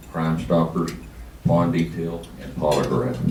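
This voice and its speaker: A man with a West Texas accent has a very deep, low pitch. There is audible room echo along with noticeable background noise. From Texas, San Angelo. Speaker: police chief candidate. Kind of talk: campaign speech. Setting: luncheon forum with audience. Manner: loud.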